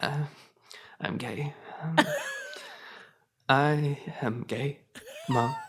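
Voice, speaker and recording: In a put-on character voice, a man whispers in a raspy, shaky way, very slowly and with long, frequent pauses. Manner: timid, whimpering.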